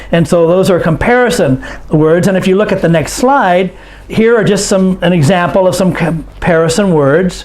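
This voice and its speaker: Audible room echo surrounds a man who speaks at a high pitch and a fairly slow pace, with ordinary pitch variation. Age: 60s. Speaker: English teacher. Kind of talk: online lesson.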